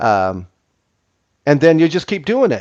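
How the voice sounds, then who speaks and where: The speech moves at a fairly quick pace with a dry, close sound and no echo. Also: man. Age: 60s. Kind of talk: casual chat. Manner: halting.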